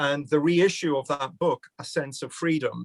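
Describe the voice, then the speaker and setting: A man speaks with a Glaswegian accent. His pace is moderate. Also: dry, close sound with no echo. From Scotland, Glasgow. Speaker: criminology professor. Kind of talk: public conversation event.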